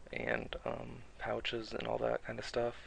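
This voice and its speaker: A soft-spoken man. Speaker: gaming video creator. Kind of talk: tutorial. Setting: home recording at night. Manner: halting.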